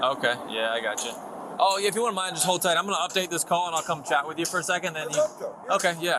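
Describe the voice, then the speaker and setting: A man's high-pitched voice at a very fast pace, with ordinary pitch variation and noticeable background noise. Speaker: sheriff's deputy. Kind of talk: police body cam exchange.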